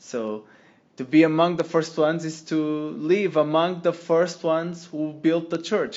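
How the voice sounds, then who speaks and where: Here a man talks with a Portuguese accent at a fairly high pitch. His pace is fairly slow. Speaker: lay missionary. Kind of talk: testimony. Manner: halting.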